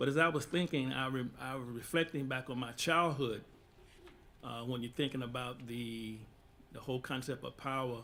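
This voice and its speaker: There is audible room echo as a man speaks at a medium pitch. He keeps a moderate pace and fairly even intonation. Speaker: imam. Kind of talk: panel discussion. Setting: stage with audience.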